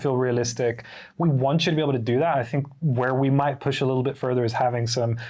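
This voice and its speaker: Very fast speech from a man, somewhat breathy, medium in pitch, with fairly even intonation. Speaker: game developer. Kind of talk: casual interview answer.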